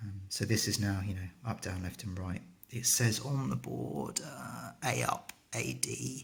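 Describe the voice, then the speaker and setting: A soft-spoken man with a British accent talks at a fairly slow pace. Vocal fry runs through his speech. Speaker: retro gaming hobbyist. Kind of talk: casual tutorial talk to camera. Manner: quiet, soft-spoken.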